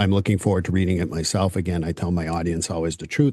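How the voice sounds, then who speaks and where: A man talks at a very fast pace in a dark, mellow tone. The background is quiet. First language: French. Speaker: podcast host. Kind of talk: interview. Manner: casual.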